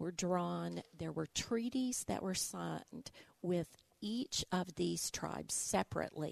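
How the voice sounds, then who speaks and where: At a fairly slow pace, a woman with an Arkansas accent speaks against a quiet background, the sound dry and close with no echo. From Arkansas, Little Rock. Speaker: museum director and local historian. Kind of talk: interview, historical explanation.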